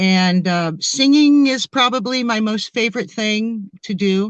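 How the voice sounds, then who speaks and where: In an American accent, a woman with a plain, everyday voice speaks at a fairly slow pace and a fairly high pitch. Her intonation is lively, and the sound is dry and close with no echo. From US Midwest, Springfield, Ohio. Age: 60s. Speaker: experiencer guest, singer. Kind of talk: interview storytelling.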